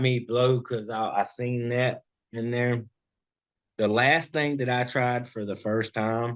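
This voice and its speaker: The delivery is very slow. It comes with a Southern US accent. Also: man. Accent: Southern US (Georgia). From US South, Georgia (Vidalia). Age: 30s. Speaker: hip hop and R&B artist, contestant. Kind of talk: interview. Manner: halting.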